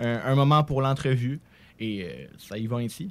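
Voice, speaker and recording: Here is a man with a normal speaking voice and fairly even intonation. The recording is very clean, with a silent background. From Quebec City. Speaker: student podcaster. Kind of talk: casual chat.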